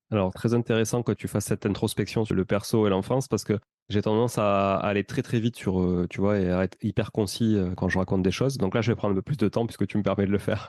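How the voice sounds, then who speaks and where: Against a quiet background, a man with a slight Toulouse accent talks at a very fast pace in a fairly low voice, with fairly even intonation, very even loudness and a dry, close sound with no echo. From Toulouse, southern France. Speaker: real estate investor and entrepreneur. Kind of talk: podcast interview.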